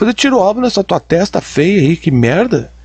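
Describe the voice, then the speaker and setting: Over a quiet background, a man speaks with a high pitch at a moderate pace. His pitch swings very widely. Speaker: commentator reacting to videos. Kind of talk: reaction commentary. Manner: animated.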